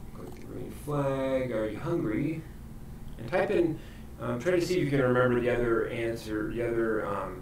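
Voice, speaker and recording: A man's medium-pitched voice with lively intonation at a moderate pace, with audible room echo and noticeable background noise. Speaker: library coding instructor. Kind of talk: tutorial.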